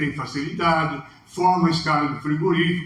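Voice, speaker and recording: A man's fairly high-pitched voice, ordinary pitch variation, noticeable background noise and audible room echo. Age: 60s. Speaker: livestock consultant. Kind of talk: talk with Q&A.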